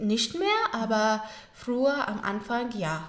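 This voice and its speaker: At a very slow pace, a woman with a fairly high pitch speaks amid noticeable background noise and audible room echo. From Afghanistan, Kabul. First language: Pashto and Dari (speaking German). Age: 20s. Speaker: au pair and former journalist. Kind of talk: interview. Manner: halting.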